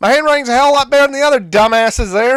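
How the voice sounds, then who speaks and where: The tone is animated. The pace is very fast. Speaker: gaming streamer. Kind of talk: gameplay commentary. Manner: loud.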